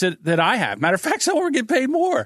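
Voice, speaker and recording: In an American accent, a man speaks with lively intonation, his voice dry and close with no echo over a quiet background. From New Jersey. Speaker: podcast audio producer. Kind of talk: casual chat. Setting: video call.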